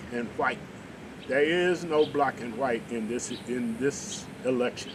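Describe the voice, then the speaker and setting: Noticeable background noise runs under speech delivered at a fairly slow pace with ordinary pitch variation. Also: man. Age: 70s. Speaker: talk show host. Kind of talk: political discussion.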